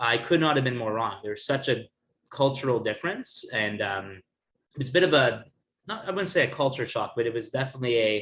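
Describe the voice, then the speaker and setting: Medium pitch from a man, with a fairly quick pace and lively intonation. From Canada, Toronto. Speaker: actor and playwright. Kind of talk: interview.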